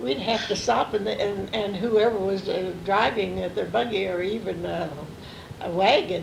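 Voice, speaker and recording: Noticeable background noise under a medium-pitched woman's voice, moderate in pace, with ordinary pitch variation. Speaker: grandmother telling family stories. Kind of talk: recorded family interview, reminiscing. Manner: hesitant, many fillers.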